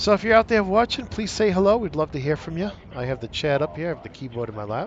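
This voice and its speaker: A man with a northeastern US accent, very fast pace, fairly high pitch, big swings in loudness and very wide pitch swings. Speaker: gaming streamer. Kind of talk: casual chat. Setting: live stream with headset.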